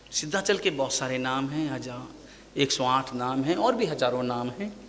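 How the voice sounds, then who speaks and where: A man is speaking. There is audible room echo. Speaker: Jain monk preacher. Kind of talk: sermon.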